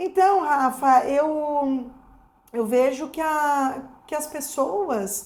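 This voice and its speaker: A woman's high voice moves through her words very slowly. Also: ordinary pitch variation. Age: 50s. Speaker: dental prosthesis technician and teacher. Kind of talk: casual chat.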